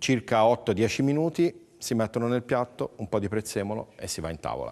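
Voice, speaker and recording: Against a quiet background, a man with an ordinary speaking voice talks at a medium pitch and moderate pace with ordinary pitch variation. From Livorno, Tuscany. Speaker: chef. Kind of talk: cooking demonstration.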